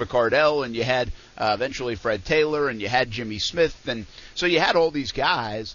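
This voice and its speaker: A man talks at a moderate pace. It is an ordinary speaking voice. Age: 40s. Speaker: sports radio host. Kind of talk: casual chat. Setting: live remote broadcast at hotel event.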